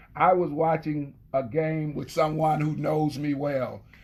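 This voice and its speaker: This man speaks at a fairly slow pace with a somewhat breathy voice. His pitch sits fairly high for a man, and his intonation stays fairly even. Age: 60s. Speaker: former football player. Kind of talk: casual chat.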